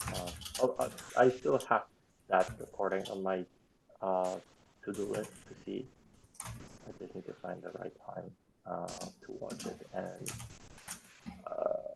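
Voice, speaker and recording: A man speaks at a fairly slow pace with a non-native accent, leaving long, frequent pauses. His loudness swings widely from moment to moment. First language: not English. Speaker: software contributor. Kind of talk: online work meeting discussion. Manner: halting, many fillers.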